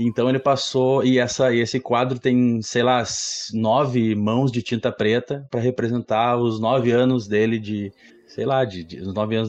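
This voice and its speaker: Delivered at a moderate pace in a plain, everyday voice, the speech has fairly even intonation. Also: man. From Rio Grande do Sul, Brazil (Guaíba, near Porto Alegre). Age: 30s. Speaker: graphic designer. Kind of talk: casual chat.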